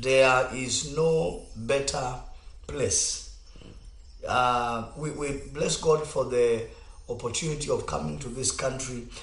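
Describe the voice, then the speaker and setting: In a room with audible echo, a man speaks very slowly, with long, frequent pauses. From Kenya. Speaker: pastor. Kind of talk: radio talk show with preaching. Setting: studio.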